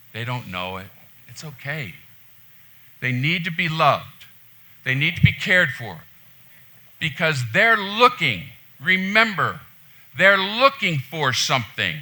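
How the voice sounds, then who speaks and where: A man's fairly high-pitched, bright, sharp voice with vocal fry and a passionate tone, very wide pitch swings, big swings in loudness, a fairly slow pace, long, frequent pauses and audible room echo. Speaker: pastor. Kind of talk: sermon. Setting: church. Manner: loud, passionate.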